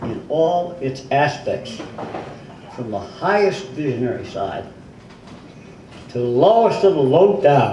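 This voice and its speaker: Over noticeable background noise, a man with a fairly high voice talks at a fairly slow pace with lively intonation. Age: 80s+. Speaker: author. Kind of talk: book reading at a live event. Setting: bookstore event.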